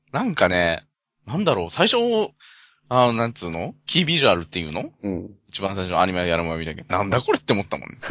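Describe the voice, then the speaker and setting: The delivery is very fast with lively intonation. Loudness swings widely throughout. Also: man, very deep, low pitch for a man. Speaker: podcast co-host. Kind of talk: casual chat.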